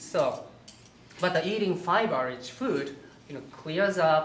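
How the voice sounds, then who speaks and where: Fairly slow speech in a Japanese accent over noticeable background noise. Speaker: holistic health counselor and cooking instructor. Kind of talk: cooking demonstration. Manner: halting.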